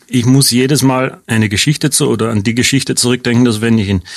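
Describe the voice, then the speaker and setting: Speaking at a very fast pace, a man with a slight Austrian accent keeps his intonation fairly even. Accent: slight Austrian regional colouring. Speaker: radiation oncologist. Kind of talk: radio interview.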